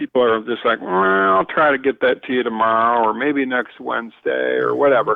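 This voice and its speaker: In a northern US accent, the speech moves at a fairly quick pace with fairly even intonation. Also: man. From Michigan, US Midwest. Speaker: outdoor writer and marketer. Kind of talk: podcast interview.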